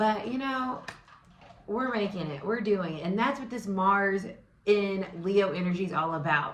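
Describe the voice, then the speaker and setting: A loud woman of medium pitch speaks at a fairly slow pace with ordinary pitch variation, with audible room echo and noticeable background noise. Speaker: tarot reader and astrology host. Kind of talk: casual vlog-style tarot and astrology talk. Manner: animated, excited.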